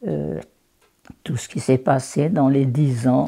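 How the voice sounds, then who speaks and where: Speaking very slowly, a woman with a very deep, low pitch and a dark, mellow tone uses vocal fry. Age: 80s+. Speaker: local historian. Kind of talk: interview answer.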